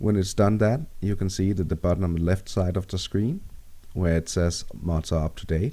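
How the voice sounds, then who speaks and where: With a Danish accent, a man speaks in a very deep, low pitch. His tone is dark and mellow. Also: ordinary pitch variation, moderate pace. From Denmark. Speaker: gaming tutorial maker. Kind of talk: tutorial.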